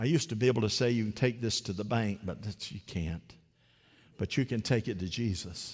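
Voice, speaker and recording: Animated and somewhat breathy, a man talks at a fairly quick pace. His pitch is fairly low, with ordinary variation. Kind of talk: sermon. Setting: church. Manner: animated call-and-response preaching, urging the congregation to repeat after him.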